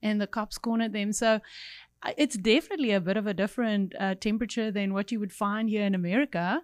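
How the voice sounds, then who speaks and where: A woman speaks very fast at a fairly high pitch with ordinary pitch variation. The sound is dry and close with no echo, and the recording is very clean with a silent background. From South Africa, Cape Town. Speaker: evangelist, ministry leader. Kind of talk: casual chat.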